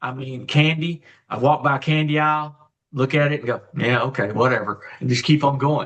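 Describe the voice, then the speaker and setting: Spoken at a fairly quick pace with fairly even intonation, this is a normal speaking voice. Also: man, fairly high pitch for a man. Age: 60s. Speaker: guest sharing health story. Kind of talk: testimony. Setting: live online show.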